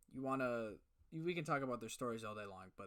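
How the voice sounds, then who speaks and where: With lively intonation, a man speaks at a medium pitch. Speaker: podcast co-host. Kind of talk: casual chat. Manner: loud.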